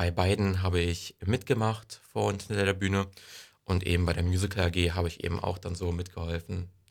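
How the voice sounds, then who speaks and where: A man talks at a fairly quick pace in a very deep, low voice with monotone, flat intonation. The recording is very clean, with a silent background. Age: young. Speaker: incoming volunteer at community media station. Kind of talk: casual interview.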